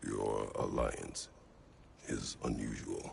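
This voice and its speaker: Clear background noise under a man's put-on character voice. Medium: short film. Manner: terse.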